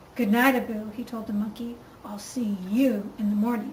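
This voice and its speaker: Using a put-on character voice, a woman with a fairly high pitch speaks at a moderate pace over clear background noise. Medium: read story. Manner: theatrical.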